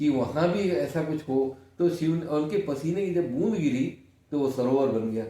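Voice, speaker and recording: In a dark, mellow tone, a man speaks with ordinary pitch variation, with audible room echo. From India, Varanasi (Kashi). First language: Kannada (speaking Hindi). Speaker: senior journalist. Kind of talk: interview.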